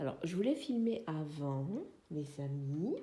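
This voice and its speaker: A woman's very deep, low voice with a dark, mellow tone, somewhat breathy, lively in intonation and very slow in pace. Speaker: craft vlogger. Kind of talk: casual vlog chat. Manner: hesitant, many fillers.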